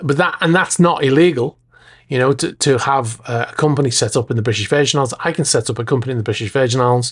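This man talks at a very fast pace with a medium pitch and ordinary pitch variation. His voice is somewhat breathy. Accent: American. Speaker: podcast host. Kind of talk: casual solo podcast.

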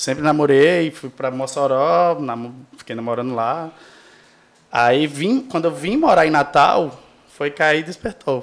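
A man with a normal speaking voice, fairly high pitch and ordinary pitch variation at a fairly slow pace. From Brazil, Rio Grande do Norte interior (Seridó). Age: 30s. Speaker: podcast guest. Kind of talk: casual chat.

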